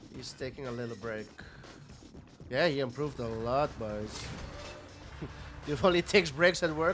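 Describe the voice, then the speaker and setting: A man at a medium pitch, animated in tone, with lively intonation, a moderate pace, long, frequent pauses, big swings in loudness and music in the background. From Netherlands. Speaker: esports commentator. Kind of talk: live commentary.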